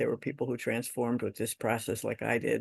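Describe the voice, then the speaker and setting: The speaker is a man. Vocal fry runs through his voice. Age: 60s. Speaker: workshop participant. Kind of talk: personal testimony.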